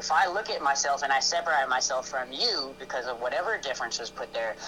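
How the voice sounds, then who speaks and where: A man talks at a very fast pace with lively intonation and a fairly high pitch. Music plays in the background. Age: 20s. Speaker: podcast guest. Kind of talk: casual chat. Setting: live stream.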